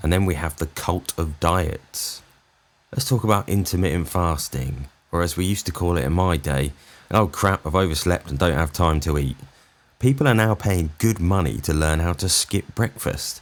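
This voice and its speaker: With vocal fry and a very deep, low pitch, a man speaks at a moderate pace with ordinary pitch variation. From England. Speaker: comedian. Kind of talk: comedic rant to camera. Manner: sarcastic, exasperated.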